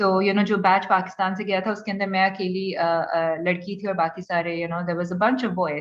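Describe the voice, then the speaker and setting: Speaking with a Pakistani accent, a woman keeps a medium pitch and a monotone, flat intonation. She moves at a moderate pace with hardly any pauses. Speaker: startup founder. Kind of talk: panel talk. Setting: online event. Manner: hesitant, many fillers.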